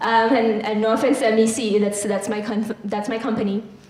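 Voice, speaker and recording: A woman speaks at a fairly quick pace with a fairly high pitch. The recording has audible room echo and noticeable background noise. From Philippines. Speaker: marketing agency content lead. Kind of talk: workshop presentation. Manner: casual, hesitant with fillers.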